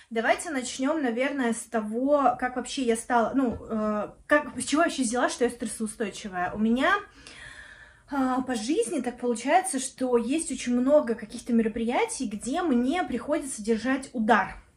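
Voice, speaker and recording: Moderately paced speech from a woman, high in pitch, with ordinary pitch variation. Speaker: video blogger and project manager. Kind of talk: casual vlog monologue. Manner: casual with many fillers.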